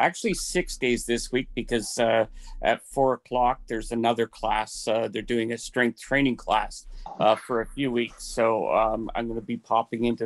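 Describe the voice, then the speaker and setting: A man speaks in an ordinary speaking voice. His pitch is medium and his pace moderate. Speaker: webinar participant, fitness class member. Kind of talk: casual comment. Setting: video call.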